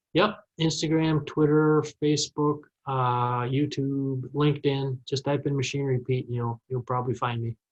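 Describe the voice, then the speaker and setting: Somewhat breathy and fairly high-pitched, a man with a Minnesota accent speaks with fairly even intonation and hardly any pauses. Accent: Minnesota, drawn-out vowels. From Minnesota, US. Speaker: farm machinery media personality. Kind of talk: podcast interview.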